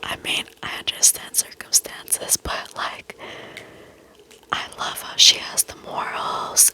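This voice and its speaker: Amid noticeable background noise, a whisper moves at a very slow pace. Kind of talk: whispered reading of reddit posts with commentary, ASMR style. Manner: whispered.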